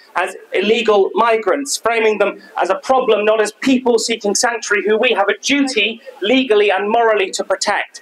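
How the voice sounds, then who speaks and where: Speaking at a fairly quick pace with a high pitch and ordinary pitch variation, a man is heard against noticeable background noise. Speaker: local councillor addressing a rally. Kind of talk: political rally speech. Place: street. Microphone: handheld.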